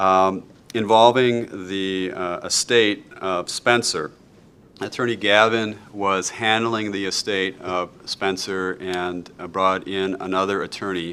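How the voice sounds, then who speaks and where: In a Wisconsin accent, the voice is bright and sharp, very slow, and monotone with flat intonation. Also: man, fairly low pitch for a man. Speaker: law instructor. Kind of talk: lecture. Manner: frequent fillers and hesitations.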